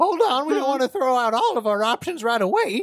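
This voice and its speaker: A put-on character voice, high in pitch, moves along at a fairly quick pace. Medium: actual play. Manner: gruff, folksy.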